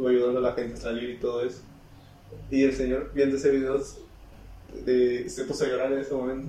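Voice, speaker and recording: A man's medium-pitched voice with a dark, mellow tone and monotone, flat intonation, at a very fast pace broken by long, frequent pauses, with audible room echo. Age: 20s. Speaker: podcast co-host. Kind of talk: casual chat.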